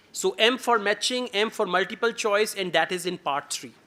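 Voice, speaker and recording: A man with a Pakistani accent speaks at a moderate pace in a raised, projected voice. His pitch is high and his tone bright and sharp. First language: Urdu. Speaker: IELTS teacher. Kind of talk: lecture.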